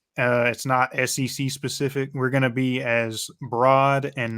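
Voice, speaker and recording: Speaking in a Georgia accent, a man keeps a monotone, flat intonation at a medium pitch in a very clean recording with a silent background. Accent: Georgia Southern. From US South, Georgia. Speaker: sports podcast co-host. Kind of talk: casual chat. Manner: casual, halting.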